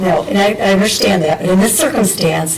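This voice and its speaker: A woman speaks at a moderate pace in a medium pitch with ordinary pitch variation. Audible room echo and noticeable background noise surround her. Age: 70s. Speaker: township board chair. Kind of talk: public meeting discussion. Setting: township board meeting.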